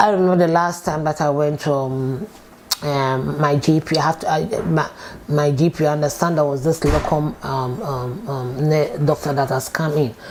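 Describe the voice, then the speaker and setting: In a Ghanaian accent, a woman talks at a moderate pace with a very deep, low pitch and ordinary pitch variation. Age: 50s. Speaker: support worker. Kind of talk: oral history interview answer.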